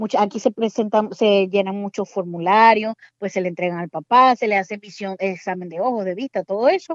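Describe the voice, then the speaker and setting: With a Zulian accent, a woman talks at a fairly quick pace with hardly any pauses, medium pitch, ordinary pitch variation, and a dry, close sound with no echo. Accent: Venezuelan Spanish, Zulian (voseo). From Venezuela, Maracaibo. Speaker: pediatrician working as medical assistant. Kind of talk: casual interview.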